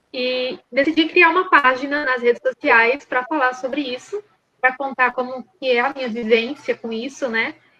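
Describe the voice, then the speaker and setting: A woman with a high pitch speaks in a raised, projected voice. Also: ordinary pitch variation, moderate pace. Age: 20s. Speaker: interview guest with a personality disorder diagnosis. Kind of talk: interview. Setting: remote video call. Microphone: unstable internet connection, audio drops.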